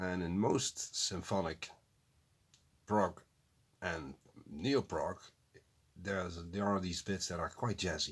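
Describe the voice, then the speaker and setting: A man speaks at a fairly slow pace in a very deep, low pitch with a non-native accent. His pitch varies in an ordinary way. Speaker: music reaction youtuber. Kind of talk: casual reaction commentary. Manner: halting, self-correcting.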